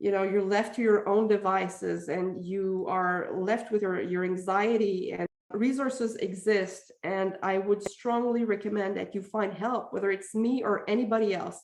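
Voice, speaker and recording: In a Quebec French accent, a woman speaks with hardly any pauses and fairly even intonation. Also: medium pitch for a woman, moderate pace. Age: 40s. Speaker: parenting communication coach. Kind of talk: podcast interview.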